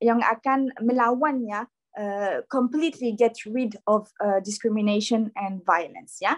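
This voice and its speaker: Speaking very slowly with a non-native accent, the voice shows ordinary pitch variation. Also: woman, fairly high pitch for a woman, hardly any pauses, dry, close sound with no echo. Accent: non-native Indonesian. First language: not Indonesian (speaking Indonesian). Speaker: workshop speaker. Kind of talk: lecture. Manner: halting, many fillers and restarts; informal, relaxed.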